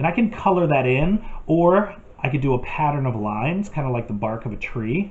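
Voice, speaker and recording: A man speaks with ordinary pitch variation. His voice is somewhat breathy. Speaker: art teacher. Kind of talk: tutorial. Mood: calm, friendly.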